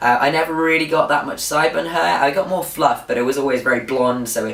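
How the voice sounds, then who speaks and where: A man with a British accent talks at a fairly quick pace in a fairly high voice with ordinary pitch variation. Noticeable background noise runs behind him. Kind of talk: casual vlog update. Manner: informal, with fillers.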